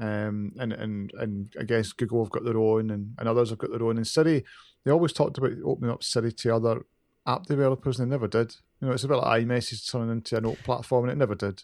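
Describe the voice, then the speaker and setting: A man with a strong Glaswegian accent talks at a very fast pace in a medium pitch, with ordinary pitch variation, on a very clean recording with a silent background. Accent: Glaswegian, fairly strong. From Glasgow, Scotland. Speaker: podcast co-host. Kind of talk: casual chat. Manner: can talk fast.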